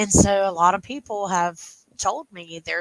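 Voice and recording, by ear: With a fairly bright tone and vocal fry, a woman speaks at a fairly slow pace in a dry, close sound with no echo.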